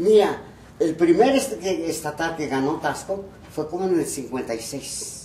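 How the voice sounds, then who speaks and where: A man speaks at a fairly slow pace with a high pitch and lively intonation. Audible room echo and noticeable background noise fill the recording. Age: 80s+. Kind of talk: interview, reminiscing. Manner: halting, repetitive.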